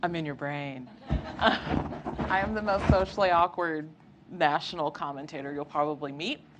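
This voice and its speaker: With an American accent, a woman speaks at a fairly slow pace in a very deep, low pitch, with ordinary pitch variation and noticeable background noise. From Southeast Texas. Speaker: history PhD student and lecturer. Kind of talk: lecture. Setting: lecture room with live audience.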